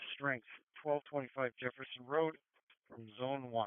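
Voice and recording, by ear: A man's clear, smooth voice at medium pitch, fairly even in intonation and fairly quick, with a dry, close sound and no echo.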